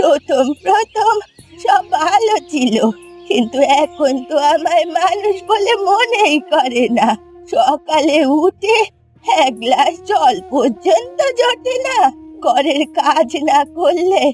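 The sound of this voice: A woman speaks in a put-on character voice, pitched extremely high, with a slightly mellow tone. Her slow delivery swings widely in pitch over faint background music.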